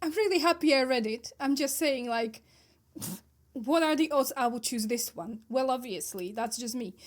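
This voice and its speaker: Her pitch high, a woman with a non-native accent speaks with lively intonation. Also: moderate pace. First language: not English. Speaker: book podcast co-host. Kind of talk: casual chat. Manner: animated.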